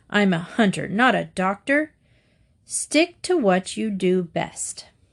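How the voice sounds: A woman's growling, put-on character voice at medium pitch and a fairly slow pace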